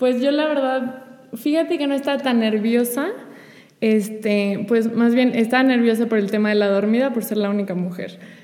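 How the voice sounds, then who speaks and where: Audible room echo surrounds a woman's fairly high voice. Her pitch varies in an ordinary way. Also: moderate pace. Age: 20s. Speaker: teacher and florist. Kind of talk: testimony in casual conversation.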